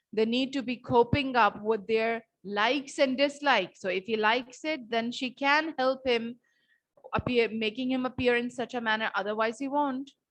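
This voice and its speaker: A woman speaks at a high pitch with fairly even intonation. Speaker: teacher. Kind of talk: online lecture. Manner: slow, repetitive.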